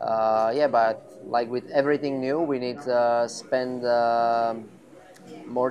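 With music in the background, a man speaks very slowly in a monotone, flat way. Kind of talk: interview answer. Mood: relaxed, pleased. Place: garage.

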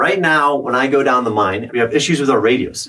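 A man talks at a fairly quick pace. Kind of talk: casual vlog explanation to camera. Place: tunnel cave.

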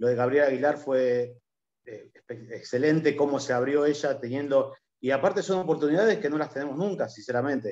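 A man speaks in an ordinary speaking voice at a fairly high pitch. His pace is fairly quick, with ordinary pitch variation. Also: quiet background. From Punta Alta, Argentina. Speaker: oil company worker and union leave. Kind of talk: self-introduction. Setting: video call. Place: home room. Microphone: video call.

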